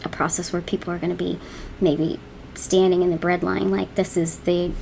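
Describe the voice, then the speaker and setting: A woman speaks at a very fast pace in a fairly low voice. Noticeable background noise can be heard. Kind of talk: casual talk to camera.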